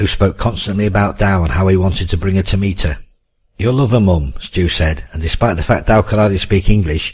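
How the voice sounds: Against a quiet background, this is a natural reading voice. The intonation is lively.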